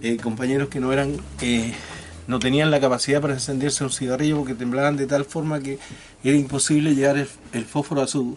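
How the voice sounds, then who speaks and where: With a southern Chilean accent, a man talks at a very fast pace, fairly high in pitch and with monotone, flat intonation. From Chile, Magallanes (Porvenir, Tierra del Fuego). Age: 60s. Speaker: retired teacher, former political prisoner. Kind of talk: interview testimony. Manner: halting, many repetitions and fillers.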